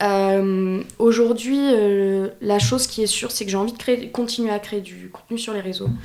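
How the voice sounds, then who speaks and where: The speaker uses a normal speaking voice, and the intonation remains fairly even. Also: woman. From France, Bordeaux region. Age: 20s. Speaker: freelance video editor and content creator. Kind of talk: casual chat.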